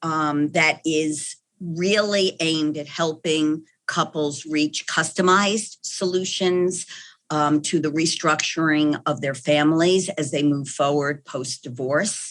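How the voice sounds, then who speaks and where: Speaking at a very slow pace, a woman with a slight New York accent uses a very deep, low pitch and fairly even intonation. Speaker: clinical psychologist. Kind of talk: podcast interview.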